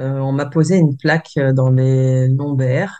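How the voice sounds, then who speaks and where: A woman speaks at a very deep, low pitch with a dark, mellow tone. Her pace is very slow and her intonation fairly even. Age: 40s. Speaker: energy healer and massage therapist. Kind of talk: interview testimony. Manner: soft-spoken; hesitant, many fillers.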